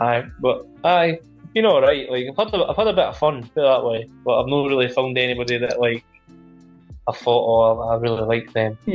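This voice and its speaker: With music in the background, a man speaks in a Scottish accent at a fairly quick pace. His pitch is medium, with ordinary variation. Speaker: livestreamer answering chat questions.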